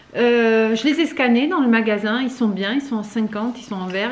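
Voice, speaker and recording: Noticeable background noise beneath a woman talking with ordinary pitch variation. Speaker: vlogger. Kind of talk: casual vlog chat.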